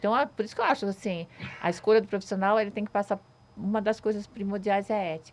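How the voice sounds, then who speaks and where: A woman talks at a very fast pace and a medium pitch. Her intonation stays fairly even. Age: 60s. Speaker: social media influencer. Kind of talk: casual chat.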